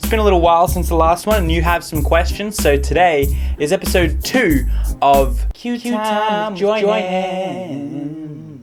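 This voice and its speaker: Music plays in the background while the speech moves at a fairly slow pace. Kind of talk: casual talk to camera.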